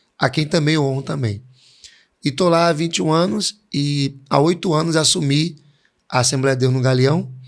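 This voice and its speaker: In a very clean recording with a silent background, a man speaks in an ordinary speaking voice, fairly high in pitch with ordinary variation, very even loudness and a moderate pace. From Pernambuco, Brazil. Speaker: pastor. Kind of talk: interview.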